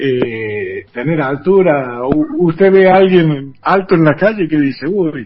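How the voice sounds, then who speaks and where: A very slow man's voice with lively intonation and hardly any pauses. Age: 60s. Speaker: journalist and former basketball player, museum director. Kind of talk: radio interview. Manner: hesitant, many fillers.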